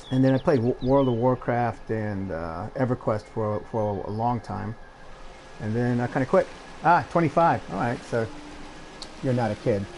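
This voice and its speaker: Amid noticeable background noise, a man speaks at a moderate pace and medium pitch, with ordinary pitch variation and long, frequent pauses. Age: 60s. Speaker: video game streamer. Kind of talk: casual gameplay commentary. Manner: halting.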